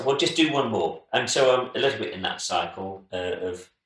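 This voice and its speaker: The man's voice has a bright, sharp tone and ordinary pitch variation. Room echo is audible. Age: 60s. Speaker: cover band musician. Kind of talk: casual chat. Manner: halting.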